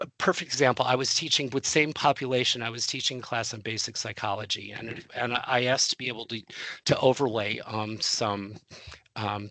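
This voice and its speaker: Vocal fry runs through a man's bright, sharp tone over a quiet background. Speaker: webinar presenter for adjunct faculty. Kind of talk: webinar presentation. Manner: fast; halting, many fillers and repetitions.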